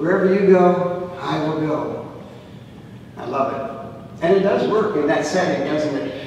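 A man speaks at a fairly slow pace with a fairly high pitch and ordinary pitch variation. Strong room echo surrounds his voice. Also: slightly mellow tone.

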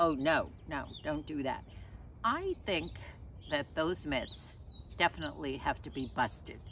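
The voice has vocal fry and moves at a very slow pace. The sound is dry with no echo, over light background noise. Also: woman. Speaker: lifestyle vlogger. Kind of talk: casual vlog chat. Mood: cheerful, animated. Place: garden. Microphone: camera far.

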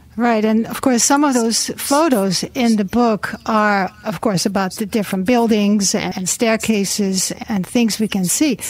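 A woman's ordinary speaking voice, fairly high in pitch with ordinary pitch variation, at a fairly slow pace with hardly any pauses. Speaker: radio host. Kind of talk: radio interview. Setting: studio.

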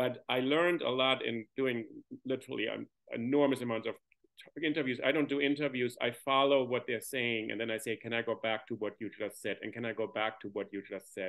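Against a quiet background, a man talks at a fairly quick pace with fairly even intonation. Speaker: academic podcaster, audience member. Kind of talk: panel discussion talk. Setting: video call. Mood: reflective, relaxed. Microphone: video call.

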